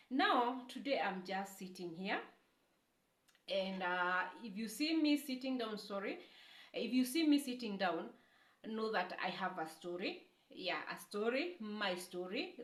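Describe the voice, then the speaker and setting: Speaking fairly slowly in a Kenyan accent, a woman with a fairly high, somewhat breathy voice swings her pitch very widely and leaves long, frequent pauses amid audible room echo. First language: Kikuyu. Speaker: YouTuber. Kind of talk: testimony. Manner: halting.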